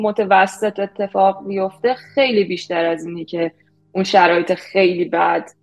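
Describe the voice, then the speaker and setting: A woman talks at a moderate pace. Behind her voice, music is playing. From Iran. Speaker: product manager. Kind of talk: interview.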